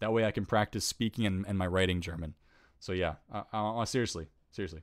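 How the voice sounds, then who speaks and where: In a very clean recording with a silent background, a man with a fairly low pitch speaks at a very fast pace with fairly even intonation. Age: 20s. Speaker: youtuber hosting a live stream Q&A. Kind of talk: live stream chat reading viewer questions. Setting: live stream. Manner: casual, many fillers and repeats.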